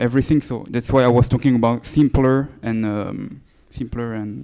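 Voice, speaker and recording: A man speaks at a moderate pace with a dark, mellow tone, a medium pitch and ordinary pitch variation. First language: French. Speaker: startup founder pitching. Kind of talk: Q&A after a pitch. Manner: halting.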